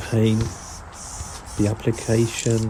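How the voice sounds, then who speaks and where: Over noticeable background noise, a relaxed speaker with a London accent talks at a moderate pace. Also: man. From South London. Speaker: graffiti artist. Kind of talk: voice-over commentary tutorial. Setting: recorded voice-over. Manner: casual, relaxed.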